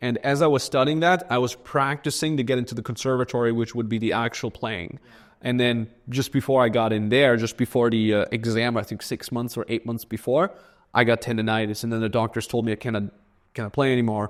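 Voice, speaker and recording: Speaking at a very fast pace, a man with a German accent comes through on a very clean recording with a silent background. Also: medium pitch for a man. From Austria. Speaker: entrepreneur. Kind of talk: casual chat. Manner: casual, animated with filler.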